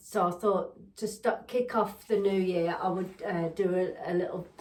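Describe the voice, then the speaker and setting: With an English accent, a woman speaks fairly slowly in a medium pitch. Noticeable background noise can be heard. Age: 60s. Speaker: lifestyle vlogger. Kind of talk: casual chat. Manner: halting, many fillers.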